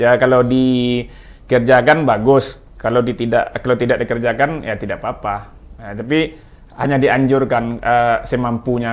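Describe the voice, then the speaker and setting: A man with a Minang accent, medium pitch and a moderate pace. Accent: Minang-accented Indonesian. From West Sumatra (Minangkabau). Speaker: linguist. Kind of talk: talk show discussion. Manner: halting, with many fillers and restarts.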